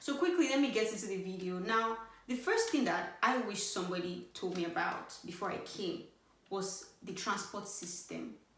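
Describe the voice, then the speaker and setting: Against noticeable background noise and audible room echo, a woman speaks at medium pitch with ordinary pitch variation. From Nigeria. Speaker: YouTuber giving study-abroad advice. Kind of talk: casual vlog talk to camera. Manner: animated.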